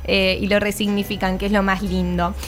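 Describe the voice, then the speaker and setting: A woman speaks at a moderate pace, with audible room echo and noticeable background noise around her. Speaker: radio music presenter. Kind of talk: radio segment.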